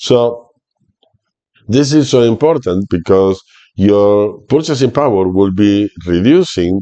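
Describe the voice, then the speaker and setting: A man speaks at a very slow pace, his loudness very even. His tone is dark and mellow, his pitch fairly low with ordinary variation. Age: 60s. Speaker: retirement finance youtuber. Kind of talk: tutorial. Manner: halting.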